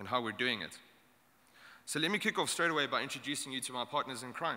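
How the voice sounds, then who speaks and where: A man with a South African accent, medium pitch, and a bright, sharp tone. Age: young. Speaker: startup incubator founder. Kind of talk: short conference talk.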